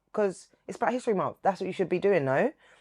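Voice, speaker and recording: A woman speaks in a London accent at a medium pitch against a quiet background. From London, England. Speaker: TV presenter and radio broadcaster. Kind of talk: casual interview chat.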